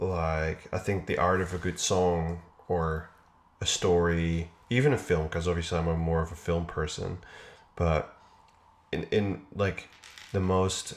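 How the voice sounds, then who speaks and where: A man with a very deep, low pitch at a fairly slow pace, monotone and flat, with long, frequent pauses. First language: not English. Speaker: video creator. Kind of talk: casual chat.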